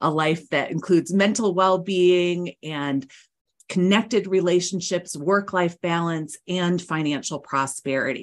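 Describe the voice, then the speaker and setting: A plain, everyday voice speaks at a fairly slow pace with ordinary pitch variation, captured on a very clean recording against a silent background. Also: woman, fairly low pitch for a woman. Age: 50s. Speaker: psychotherapist and author. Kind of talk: interview.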